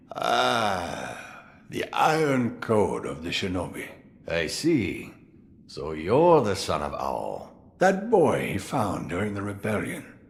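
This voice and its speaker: In a put-on character voice, a man speaks at a fairly low pitch and a fairly slow pace, with audible echo. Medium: video game. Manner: wry, chuckling.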